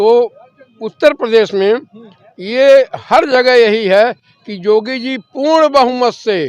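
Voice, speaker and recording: The sound of a man's voice is dry and close, without any echo. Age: 70s. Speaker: retired pensioner, local resident. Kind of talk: street interview.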